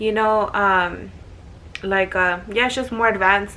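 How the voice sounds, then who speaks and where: Her tone bright and sharp, a woman speaks. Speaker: vlogger. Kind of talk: casual chat. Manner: fast; animated.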